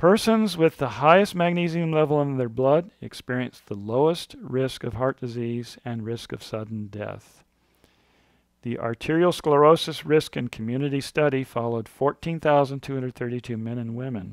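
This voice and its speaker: A man speaks at a moderate pace with lively intonation and a medium pitch. The recording is very clean with a silent background, and the sound is dry and close with no echo. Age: 60s. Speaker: author. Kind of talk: reading aloud. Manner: halting.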